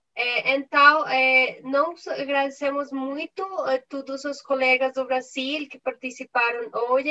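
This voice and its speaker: Using a raised, projected voice, a woman with a non-native accent speaks at a very slow pace and high pitch, with fairly even intonation and a dry, close sound with no echo. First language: not Portuguese (speaking Portuguese). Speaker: conference moderator and interpreter. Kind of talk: formal closing remarks. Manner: halting.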